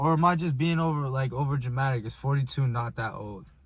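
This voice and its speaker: A man's somewhat breathy, medium-pitched voice moves at a fairly quick pace with ordinary pitch variation. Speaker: vlogger. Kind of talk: casual chat. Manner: halting.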